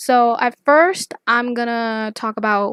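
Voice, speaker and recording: Woman's fairly high voice with a non-native accent and fairly even intonation, in a very clean recording with a silent background and a dry, close sound with no echo. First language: not English. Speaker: YouTuber, artist and pop culture commentator. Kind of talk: casual commentary video. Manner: casual, filler-heavy, rambling.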